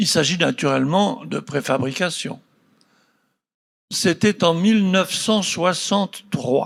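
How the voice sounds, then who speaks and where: In a very clean recording with a silent background, a man with a high voice speaks at a very slow pace. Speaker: architect. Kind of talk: reminiscence talk.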